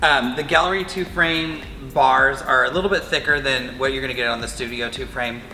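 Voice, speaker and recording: Very fast speech from a man with a fairly high pitch and ordinary pitch variation, amid noticeable background noise and audible room echo. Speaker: quilting machine demonstrator. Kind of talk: product demo tutorial. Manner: casual, filler-heavy.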